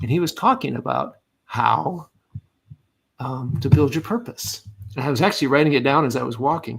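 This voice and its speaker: Male speech with vocal fry, a medium pitch, a moderate pace and ordinary pitch variation. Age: 60s. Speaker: leadership coach and retired Air Force officer. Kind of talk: podcast interview.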